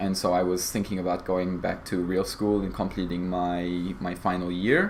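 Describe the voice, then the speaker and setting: A man's very deep, low voice in a flat monotone at a moderate pace, with audible room echo. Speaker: cybersecurity apprentice. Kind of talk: interview.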